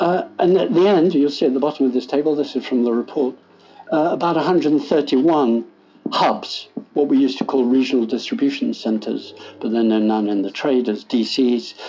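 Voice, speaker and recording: Over music in the background, a man with an English accent speaks at a fairly quick pace in a fairly high pitch, with ordinary pitch variation. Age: 70s. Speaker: food policy professor. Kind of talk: lecture. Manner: conversational.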